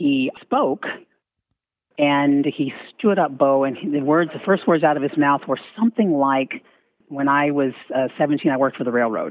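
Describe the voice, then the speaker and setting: A woman with an American accent speaks at a moderate pace in a very deep, low voice with ordinary pitch variation. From Missouri. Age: 50s. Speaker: radio host. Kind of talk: radio interview.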